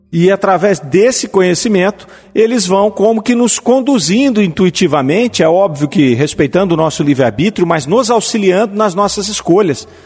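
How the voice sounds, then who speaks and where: A high-pitched man at a moderate pace, lively in intonation, hardly any pauses, over noticeable background noise. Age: 50s. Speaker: spiritist radio program host. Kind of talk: lecture-style commentary on spiritist texts. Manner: halting, with fillers.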